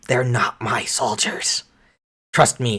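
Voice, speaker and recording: A man does a put-on character voice that is raspy and sits at a medium pitch. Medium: actual play.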